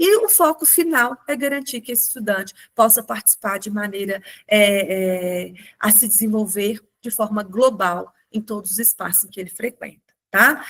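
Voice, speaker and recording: In a normal speaking voice, a woman speaks at a moderate pace and a fairly high pitch, with ordinary pitch variation and big swings in loudness. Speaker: webinar presenter on special education. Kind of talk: webinar presentation.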